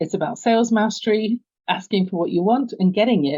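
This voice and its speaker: Using lively intonation, a woman with an English accent speaks at a moderate pace. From London, England. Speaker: business coach. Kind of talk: podcast interview.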